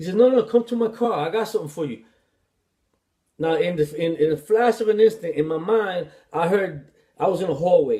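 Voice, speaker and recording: A man with a New York accent talks fairly quickly but with long, frequent pauses. His voice is high-pitched with a dark, mellow tone and ordinary pitch variation. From New York City. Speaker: author, former addict and ex-prisoner. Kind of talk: personal life story told to camera.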